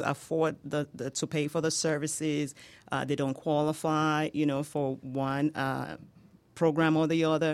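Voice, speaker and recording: A woman with a Nigerian accent, very deep and low in pitch, flat and monotone at a fairly slow pace, on a very clean recording with a silent background. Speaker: home healthcare business owner. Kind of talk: radio interview. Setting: studio.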